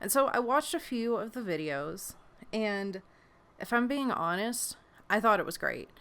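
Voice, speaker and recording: Animated and bright, a woman's fairly high, sharp voice carries lively intonation broken by long, frequent pauses. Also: moderate pace. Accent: American. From West Virginia. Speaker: variety show host and creator. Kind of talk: casual monologue. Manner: animated, self-correcting.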